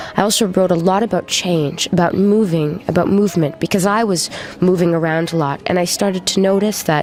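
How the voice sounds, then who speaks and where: With music in the background, a woman with a Canadian accent talks at a fairly quick pace and a fairly low pitch. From western Canada (British Columbia). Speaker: singer-songwriter. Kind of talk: interview. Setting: interview in Paris.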